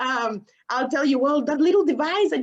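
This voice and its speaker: A woman with a high-pitched voice and a non-native accent speaks with lively intonation. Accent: noticeable foreign. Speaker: management consultant. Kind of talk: webinar panel talk. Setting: online webinar.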